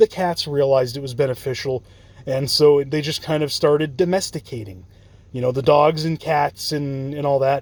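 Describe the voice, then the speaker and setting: A man talks at a moderate pace in a fairly high pitch with ordinary pitch variation. It is a plain, everyday voice. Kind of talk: casual talk to camera, free-form lecture. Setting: parked car at night.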